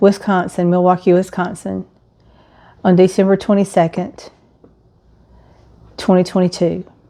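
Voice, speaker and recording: The voice has an Alabama accent. Its tone is dark and mellow. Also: woman. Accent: Southern US (Alabama). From US South, Alabama (St. Clair County). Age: 60s. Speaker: widow sharing her story. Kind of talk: personal testimony vlog. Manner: conversational with frequent fillers.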